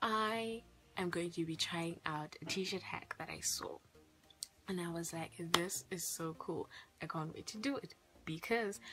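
A woman speaks at a fairly slow pace in a fairly low voice with ordinary pitch variation, while clear music plays in the background. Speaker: youtuber. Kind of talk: casual vlog chat. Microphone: phone near.

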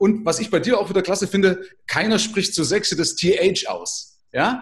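The background stays quiet. At a moderate speed, a man talks. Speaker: podcast host. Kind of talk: interview conversation. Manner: talkative. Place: home room.

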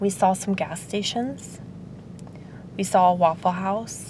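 A woman's somewhat breathy voice, very slow and fairly even in intonation, over light background noise. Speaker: vlogger. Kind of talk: casual vlog chat. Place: car. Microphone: phone near.

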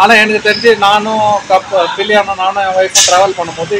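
A man with a high pitch talks while noticeable background noise is present. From Vellore, Tamil Nadu; Tamil Nadu. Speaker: bike owner, marine engineer. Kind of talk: casual interview, product review. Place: street. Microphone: phone near.

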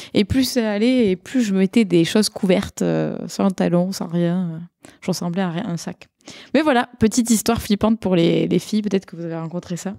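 In a slight southern French accent, a woman speaks at medium pitch and a moderate pace with a dark, mellow tone, ordinary pitch variation and big swings in loudness, in a very clean recording with a silent background and a dry, close sound with no echo. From southern France, Montpellier. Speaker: tech product person and conference speaker. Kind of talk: casual chat. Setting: around a table with other panelists.

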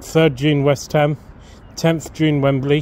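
A man speaks in a monotone, flat intonation at a fairly slow pace. Light background noise sits behind him. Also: dry sound with no echo. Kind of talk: casual vlog chat. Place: garden. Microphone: phone near.

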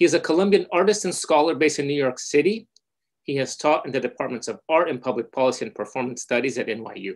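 With lively intonation, a man talks at a very fast pace against a quiet background. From Brazil. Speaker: panel moderator. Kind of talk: panel moderation. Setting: video call. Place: home room. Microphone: video call.

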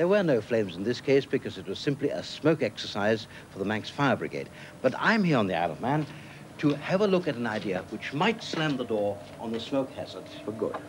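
Over noticeable background noise, a man talks at a fairly quick pace in a British accent. His pitch swings very widely. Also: medium pitch for a man. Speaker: inventor series presenter. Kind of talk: 1980s tv science presenter narration. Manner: dry, wry, measured.

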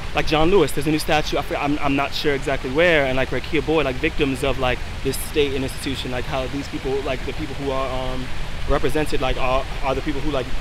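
A man talks at a very fast pace in a monotone, flat intonation. Noticeable background noise runs underneath. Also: dry sound with no echo. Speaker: interviewee. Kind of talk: interview answer. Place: street.

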